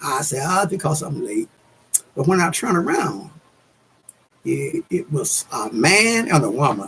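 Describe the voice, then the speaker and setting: A man's fairly high voice moves in very wide pitch swings. He talks at a fairly slow pace, with long, frequent pauses. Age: 70s. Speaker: YouTuber, religious talk. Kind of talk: casual monologue on religion. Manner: halting.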